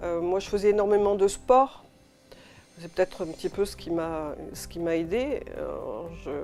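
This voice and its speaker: Speaking at a fairly slow pace, a woman leaves long, frequent pauses and her loudness swings widely. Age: 60s. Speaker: patient association president. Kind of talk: interview testimony. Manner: hesitant, frequent fillers.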